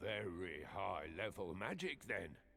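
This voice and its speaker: In a put-on character voice, a man growls out very deep, low, raspy tones over clear background noise. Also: fairly slow pace. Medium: video game. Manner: casual, inquisitive.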